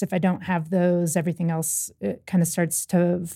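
On a very clean recording with a silent background, a woman with a fairly low pitch and a dark, mellow tone speaks at a moderate pace in a monotone, flat intonation. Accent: American. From US South, Louisville, Kentucky. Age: 30s. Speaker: accessibility app team member. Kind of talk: casual interview chat. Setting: studio.

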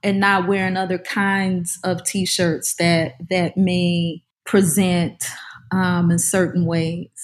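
A woman in a New Orleans accent, fairly low-pitched and somewhat breathy, at a very slow pace with monotone, flat intonation and very even loudness. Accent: New Orleans Southern American. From US South, New Orleans area. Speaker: author and professor. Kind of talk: interview.

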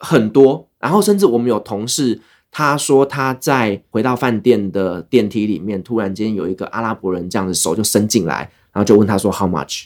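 Fairly low in pitch with ordinary variation, a man talks in a plain, everyday voice. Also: moderate pace, very clean recording, silent background. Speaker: travel podcaster, former expat worker in the Middle East. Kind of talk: casual interview chat.

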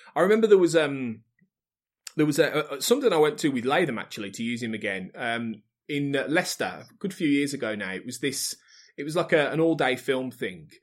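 A man with an English Midlands accent at a fairly quick pace, with very wide pitch swings and big swings in loudness, on a very clean recording with a silent background. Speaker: podcast network head. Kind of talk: casual chat.

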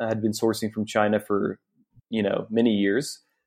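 A medium-pitched man's voice with a Southern US accent at a fairly quick pace. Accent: Southern American. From US South, Northwest Arkansas. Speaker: sourcing agent. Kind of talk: interview.

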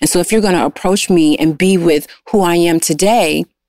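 A woman's fairly low pitch at a fairly quick pace, fairly even in intonation, in an ordinary speaking voice. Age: 40s. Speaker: guest sharing life story. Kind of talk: casual interview.

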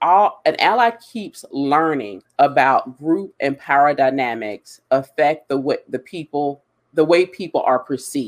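A man speaks at a very slow pace with an American accent. His intonation is lively. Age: 40s. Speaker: diversity and hiring consultant. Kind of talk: live webinar discussion. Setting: online live stream.

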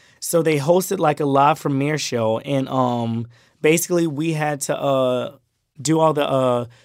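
A normal speaking voice with an American accent, moderate pace and ordinary pitch variation, on a very clean recording with a silent background. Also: man. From Miami, Florida and Brunswick, Georgia. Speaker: social media creator. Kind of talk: casual chat.

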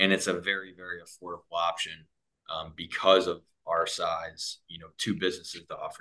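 Speaking at a fairly quick pace with an American accent, a man shows big swings in loudness. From US Midwest, Cleveland, Ohio. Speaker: sales manager. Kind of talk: interview.

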